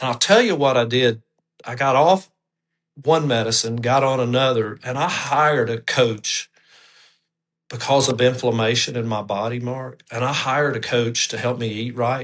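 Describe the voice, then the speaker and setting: A man's unremarkable speaking voice with medium pitch, a moderate tempo and fairly even intonation. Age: 60s. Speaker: guest sharing faith and health story. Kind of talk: interview testimony.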